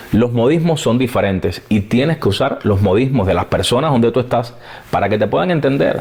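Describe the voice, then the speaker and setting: Noticeable background noise is present. The speaker has a Cuban accent and lively intonation. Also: man. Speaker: TV presenter. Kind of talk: interview answer.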